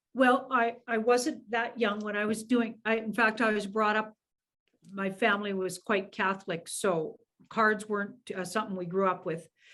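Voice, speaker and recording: With a plain, everyday voice, a woman speaks at a moderate pace in a fairly high pitch, keeping her intonation fairly even. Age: 60s. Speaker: tarot reader. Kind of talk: casual interview.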